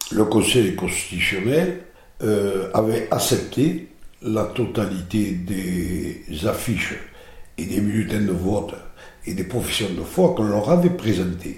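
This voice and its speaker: Speaking at a very slow pace with long, frequent pauses, a man with a southern French accent uses lively intonation amid audible room echo. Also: fairly low pitch for a man. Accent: southern French (midi). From southern France. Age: 60s. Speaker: mayor, former mason and presidential candidate. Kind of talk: interview. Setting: his office.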